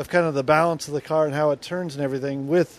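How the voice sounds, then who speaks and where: The sound is dry and has no echo. The speaker is a man. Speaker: guest. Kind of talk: interview answer.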